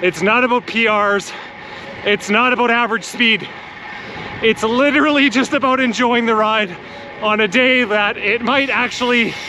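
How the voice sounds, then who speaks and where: Someone with a raised, projected voice speaks at a very even loudness and fairly even intonation, leaving long, frequent pauses, with a dry, echo-free sound and noticeable background noise. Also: man. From Canada. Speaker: cycling vlogger. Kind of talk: casual vlog monologue. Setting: outdoors, on a bike ride. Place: bicycle. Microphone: phone near.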